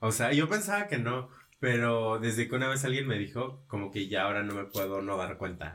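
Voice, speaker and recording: Speaking with a Mexican accent, a man uses a medium pitch with ordinary variation at a moderate pace. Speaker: social media influencer. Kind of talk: casual chat.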